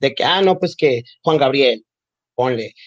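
An unremarkable speaking voice moves at a moderate pace with fairly even intonation, the sound dry and close with no echo. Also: man. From Mexico, Nogales, Sonora. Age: 20s. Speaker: communications graduate, LGBTQ+ community member. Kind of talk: casual interview.

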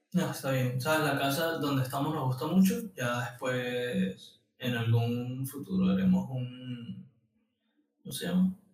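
A man at a fairly slow pace with ordinary pitch variation and audible room echo. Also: medium pitch for a man. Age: 30s. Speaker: podcast co-host, graphic designer. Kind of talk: casual chat. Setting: studio.

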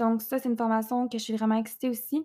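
The recording is very clean with a silent background, and the voice stays flat and monotone throughout. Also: woman. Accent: Quebec. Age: 20s. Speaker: podcast host and entrepreneur. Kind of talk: casual monologue.

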